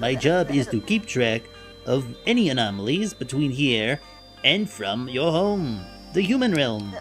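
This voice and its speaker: A woman puts on a character voice pitched very deep and low. Clear music plays in the background. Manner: friendly, explanatory, wry.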